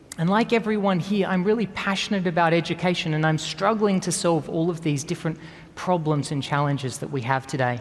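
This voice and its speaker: With an Australian accent, a man speaks at a fairly quick pace in a high pitch with ordinary pitch variation. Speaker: engineering professor; conference speaker, engineering lecturer. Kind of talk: conference keynote talk.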